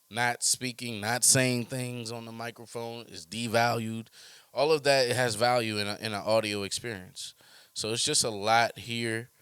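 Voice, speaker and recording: A man at medium pitch with an American accent, monotone, flat intonation, a moderate pace and big swings in loudness. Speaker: podcast host, rapper/music artist. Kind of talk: casual podcast monologue. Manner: relaxed, reflective, thoughtful.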